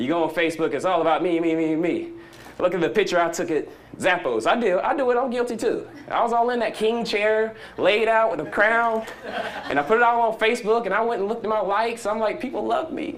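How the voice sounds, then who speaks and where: A man's high, animated voice in a Southern US accent, very fast with lively intonation, in audible room echo. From US South. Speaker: conference speaker. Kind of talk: conference talk.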